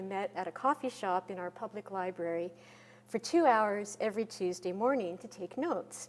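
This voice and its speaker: This woman's voice sits at a medium pitch. She keeps a moderate pace. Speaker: botanist and author giving a talk. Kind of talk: conference presentation. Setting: podium at a conference.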